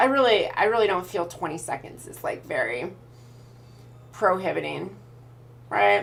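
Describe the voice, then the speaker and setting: Long, frequent pauses break up a woman's speech. Her loudness swings a lot, and the room echo is audible. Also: moderate pace. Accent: Pacific Northwest. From Idaho, US Pacific Northwest. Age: 20s. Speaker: streamer. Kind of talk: casual live stream chat.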